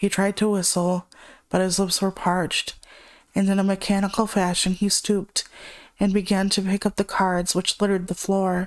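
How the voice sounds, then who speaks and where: In a very clean recording with a silent background, a woman of medium pitch speaks at a moderate pace in a flat monotone, her loudness very even throughout. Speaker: horror story narrator. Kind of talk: horror story reading.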